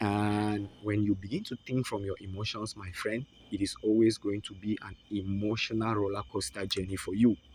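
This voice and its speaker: A man speaks with a non-native accent at a fairly low pitch. His intonation is fairly even. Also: moderate pace, hardly any pauses. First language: not English. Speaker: forex trading mentor. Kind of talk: online lesson with sales pitch.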